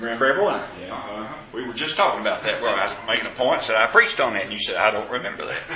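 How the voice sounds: Strong room echo rings around a man speaking at a very fast pace in a Southern US accent. His fairly low voice has a bright, sharp tone and lively intonation.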